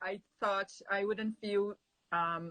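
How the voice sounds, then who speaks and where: A woman with a Portuguese accent speaks at a fairly slow pace in a medium pitch, her tone bright and sharp and her pitch varying in an ordinary way. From Brazil. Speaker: immigrant sharing her story. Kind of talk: interview. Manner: halting.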